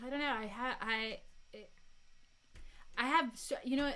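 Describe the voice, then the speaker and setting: Audible room echo carries a woman's high-pitched voice. Her tone is bright and sharp. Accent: American. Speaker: podcast co-host. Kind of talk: casual chat on a livestream. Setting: live video stream. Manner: animated.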